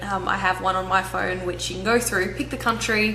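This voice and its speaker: With an Australian accent, a woman speaks amid audible room echo and noticeable background noise. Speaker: travel vlogger. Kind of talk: vlog Q&A.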